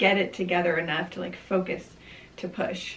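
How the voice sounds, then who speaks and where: The pace is moderate. It is a woman talking. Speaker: vlogger. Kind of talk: casual vlog storytelling. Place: home room.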